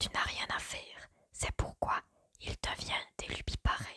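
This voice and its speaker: A woman whispers at a very slow pace. The sound is dry and close, with no echo. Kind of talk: whispered ASMR story reading. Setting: quiet indoor recording, close microphone. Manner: whispered, soft, slow.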